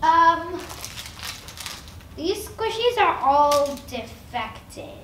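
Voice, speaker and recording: Using a put-on character voice, a woman speaks very slowly at an extremely high pitch with very wide pitch swings, slight echo and clear background noise. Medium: comedy sketch. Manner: pushy, erratic.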